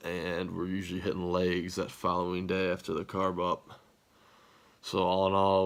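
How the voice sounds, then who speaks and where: A man's very deep, low voice in monotone, flat intonation at a moderate pace, on a very clean recording with a silent background. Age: 20s. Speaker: fitness vlogger. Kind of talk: casual vlog talk.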